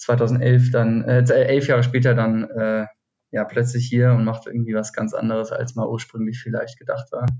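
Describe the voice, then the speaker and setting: Somewhat breathy and dark, mellow in tone, a man speaks at a medium pitch and moderate pace with monotone, flat intonation. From Hesse, Taunus near Frankfurt. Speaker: cocktail event co-founder. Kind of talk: casual interview. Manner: hesitant, many fillers.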